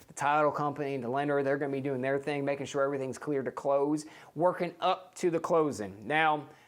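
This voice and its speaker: On a very clean recording with a silent background, a man with an American accent and a fairly high pitch talks at a fairly quick pace in an animated tone. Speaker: real estate agent. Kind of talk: tutorial. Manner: fast.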